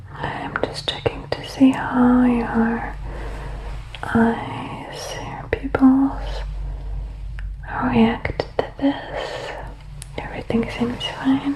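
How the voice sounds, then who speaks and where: Whispered words come at a very slow pace, broken by long, frequent pauses, with noticeable background noise behind them. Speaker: ASMR creator doing a doctor roleplay. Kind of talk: ASMR medical roleplay, guided exam. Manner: soft-spoken, gentle, calming.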